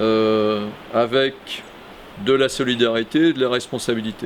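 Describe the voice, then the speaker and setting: A man's medium-pitched voice, with ordinary rises and falls, comes through noticeable background noise. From Brittany, France (Morbihan and Finistère). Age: 60s. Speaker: local election candidate, retired bank executive. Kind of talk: self-introduction video testimony. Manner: hesitant, many fillers (euh).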